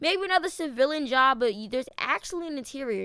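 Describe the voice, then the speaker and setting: Very fast and high-pitched, a woman's voice comes through with a bright, sharp tone. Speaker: gaming youtuber. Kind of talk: casual gaming commentary.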